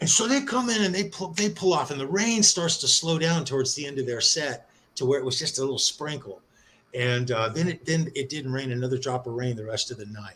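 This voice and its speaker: A fairly high male voice with lively intonation and a fairly quick pace over noticeable background noise. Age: 60s. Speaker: live stream panel regular. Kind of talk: casual chat. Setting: live stream.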